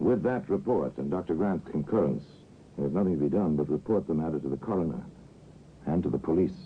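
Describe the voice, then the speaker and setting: Talking at a very fast pace, a man with a very deep, low pitch uses lively intonation and vocal fry. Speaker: radio narrator. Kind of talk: old-time radio drama narration.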